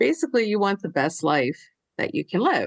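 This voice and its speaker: A woman speaks against a quiet background. The sound is dry and close with no echo. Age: 60s. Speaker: elder care advisor. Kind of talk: interview.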